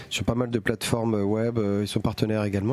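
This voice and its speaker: A man with a medium pitch at a fairly quick pace, with noticeable background noise. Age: 40s. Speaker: comic bookshop owner. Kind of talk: casual chat. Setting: bookshop.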